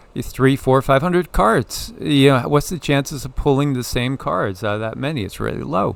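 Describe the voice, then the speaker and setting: The speaker is a man with an ordinary speaking voice. His medium pitch shows ordinary pitch variation. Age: 60s. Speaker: spiritual channel host, tarot reader. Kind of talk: casual spiritual discussion.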